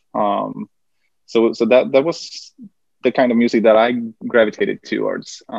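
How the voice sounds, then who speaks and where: A man with a Swedish accent and long, frequent pauses. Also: moderate pace. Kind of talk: interview conversation. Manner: halting, hesitant.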